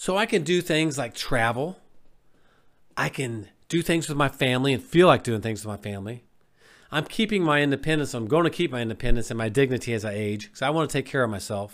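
The recording is very clean with a silent background. A man at medium pitch talks at a very fast pace with lively intonation. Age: 50s. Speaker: health coach. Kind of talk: motivational monologue.

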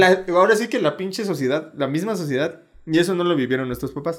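With a Mexican accent, a man speaks at a fairly quick pace and a fairly high pitch, with ordinary pitch variation. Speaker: podcast co-host. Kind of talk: casual chat.

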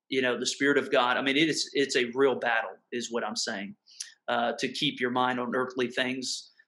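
Bright and sharp in tone, a man's medium-pitched voice comes through with a Mississippi accent. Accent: Southern US (Mississippi). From US South, southern Mississippi. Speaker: pastor. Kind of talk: casual interview conversation. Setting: video call.

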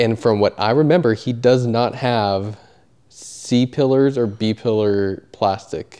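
A man speaks at a fairly slow pace with medium pitch and ordinary pitch variation. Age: 30s. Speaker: podcast host and amateur racer. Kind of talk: casual chat.

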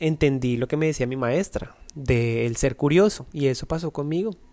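This man's fairly high voice carries a dark, mellow tone. His pace is moderate and his pitch varies in an ordinary way. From Colombia, Bogotá. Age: 30s. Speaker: dancer and dance agency owner. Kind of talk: interview.

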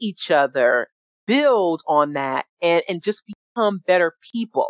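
The speaker talks at a very slow pace with very wide pitch swings, in an American accent. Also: woman. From New York City (Jamaica, Queens). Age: 40s. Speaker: founder of an atheist organization. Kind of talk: presentation.

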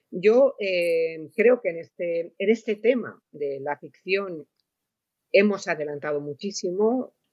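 At a very slow pace, a woman speaks with lively intonation and a medium pitch. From Spain. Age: 60s. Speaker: novelist. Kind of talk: panel discussion. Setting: round table event.

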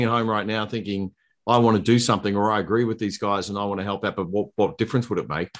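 Over a quiet background, the talk moves at a fairly quick pace with ordinary pitch variation. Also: man. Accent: Australian. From Queensland, Australia. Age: 50s. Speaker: political candidate. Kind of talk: casual chat.

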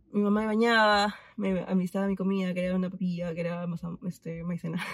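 On a very clean recording with a silent background, a woman speaks at a medium pitch in a somewhat breathy voice, her intonation monotone and flat. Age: 20s. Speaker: friend of the host. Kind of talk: casual chat.

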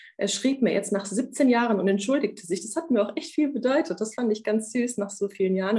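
Speaking at a very fast pace, a woman has a dark, mellow, somewhat breathy tone with ordinary pitch variation. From Romania, raised in Germany from age 7. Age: 30s. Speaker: coaching client, bank clerk. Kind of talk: coaching session.

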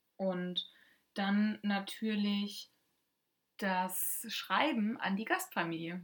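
Very slowly, a woman speaks at a medium pitch with ordinary pitch variation. Her voice is somewhat breathy, broken by long, frequent pauses. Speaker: podcast co-host, former exchange student. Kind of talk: casual chat.

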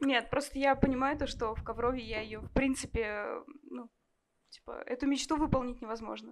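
A woman with a high voice talks at a moderate pace, her intonation fairly even. She leaves long, frequent pauses, and her loudness swings widely. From Kovrov, Russia. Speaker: cook, audience member. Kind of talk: interview on stage. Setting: bar stage with live audience.

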